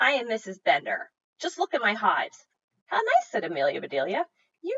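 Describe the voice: The background stays quiet. Text is read out plainly.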